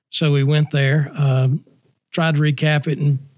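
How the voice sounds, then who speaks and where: Somewhat breathy and fairly high in pitch, a man speaks with a Southern US accent. His intonation stays monotone and flat. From Nashville, Tennessee. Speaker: state missionary and Sunday school director. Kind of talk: casual chat.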